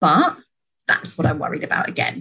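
A woman's somewhat breathy voice. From Britain. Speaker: mother sharing birth story. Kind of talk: casual interview testimony.

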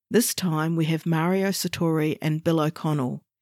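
A woman with an Australian accent speaks at a moderate pace in a fairly low pitch, her tone dark and mellow with ordinary pitch variation. The sound is dry and close with no echo, on a very clean recording with a silent background. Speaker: podcast host. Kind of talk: scripted narration.

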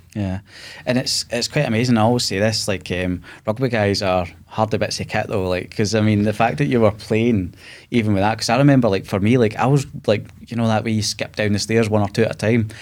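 On a very clean recording with a silent background, a man with a Glasgow accent speaks very fast in a fairly low pitch with fairly even intonation. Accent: Scottish (Glasgow). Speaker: podcast host, cancer survivor. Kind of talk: casual interview. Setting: studio.

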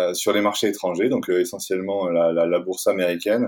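Fairly low male voice, moderate tempo, fairly even intonation. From France, Toulouse. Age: 40s. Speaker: outdoor gear company founder. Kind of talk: interview. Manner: halting, many fillers and repetitions.

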